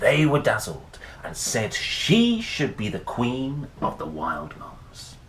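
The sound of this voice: A man speaks slowly at a medium pitch, his voice swinging very widely in pitch, with audible echo in the room.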